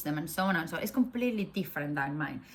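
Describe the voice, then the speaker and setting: A woman speaks at a medium pitch in a Spanish accent, her voice somewhat breathy. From Spain. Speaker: faith vlogger. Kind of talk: casual talk to camera.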